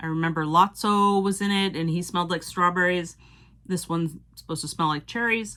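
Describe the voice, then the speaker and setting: This woman talks at a fairly quick pace with a slight Cape Cod accent, her pitch fairly low and her intonation fairly even, her tone bright and sharp. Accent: Cape Cod (Boston area) accent, slight. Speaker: Disney pin collector YouTuber. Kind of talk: casual show-and-tell video. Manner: casual, with fillers like um.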